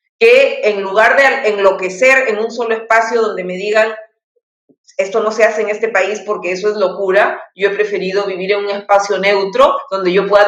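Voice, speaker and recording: Moderate pace and ordinary pitch variation in a woman's medium-pitched voice. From Peru. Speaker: poet. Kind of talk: interview. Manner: halting.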